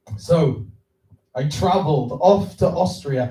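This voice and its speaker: A man's dark, mellow, somewhat breathy voice with lively intonation and a Welsh accent. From Wales. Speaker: filmmaker and festival judge. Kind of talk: reading aloud own poem. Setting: stage with audience. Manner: slow, deliberate.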